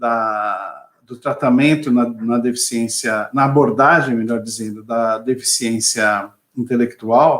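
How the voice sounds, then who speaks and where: Speaking at a very slow pace with hardly any pauses, a man uses a medium pitch and fairly even intonation. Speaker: lawyer and NGO president. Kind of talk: webinar presentation. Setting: video webinar.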